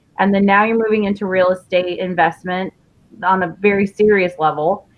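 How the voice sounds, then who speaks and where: With an American accent, a woman speaks in a normal speaking voice at medium pitch and a moderate pace. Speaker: interview show host. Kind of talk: casual interview chat.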